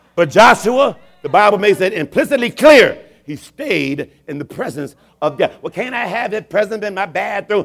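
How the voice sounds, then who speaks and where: A man's high, animated voice at a moderate pace, with very wide pitch swings. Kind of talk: sermon with call-and-response, rousing altar-call preaching. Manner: animated, exhortative, rhythmic, urging the congregation to respond; emphatic, repeating phrases for effect, builds to celebratory exclamations.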